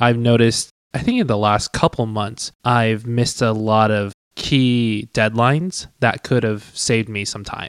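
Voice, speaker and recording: A man with an American accent speaks at a medium pitch and a fairly slow pace with fairly even intonation. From Tucson, Arizona. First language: Cantonese. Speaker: podcast co-host. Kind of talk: casual chat.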